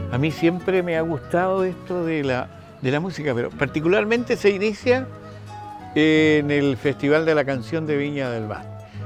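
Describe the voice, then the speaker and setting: With music in the background, a man speaks in a Chilean accent at a moderate pace, his fairly high voice carrying lively intonation. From northern Chile. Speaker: radio announcer and TV host. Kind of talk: interview answer.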